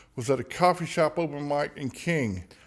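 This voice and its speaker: The speaker uses lively intonation in a Southern US accent. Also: man. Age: 60s. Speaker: singer-songwriter. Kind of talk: casual chat.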